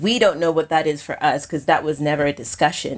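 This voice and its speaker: This woman has a very deep, low voice with an American accent. She speaks at a fairly quick pace in a very clean recording with a silent background. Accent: sounds American in some settings. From Kenya. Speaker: filmmaker. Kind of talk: interview conversation.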